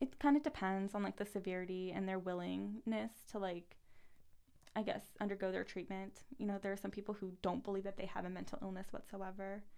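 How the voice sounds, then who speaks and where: Her pace is fairly quick and her tone dark and mellow. This woman's pitch is medium, with ordinary pitch variation. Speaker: guest sharing her story.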